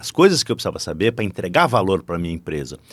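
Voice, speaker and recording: The recording is very clean and the background silent. A man's voice shows vocal fry and very wide pitch swings. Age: 60s. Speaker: business professor and corporate board advisor. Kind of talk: podcast interview. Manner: animated.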